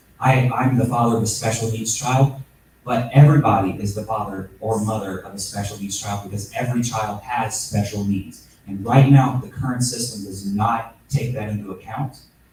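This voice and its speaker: A man speaks at a moderate pace and a medium pitch, his intonation fairly even, his loudness swinging widely, with noticeable background noise. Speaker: congressional candidate. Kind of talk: candidate forum answer. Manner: halting.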